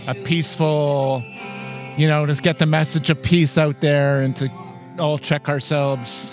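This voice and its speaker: Music plays behind a man whose fairly high voice holds a fairly even intonation. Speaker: interview host. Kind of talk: interviewer questions. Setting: outdoors.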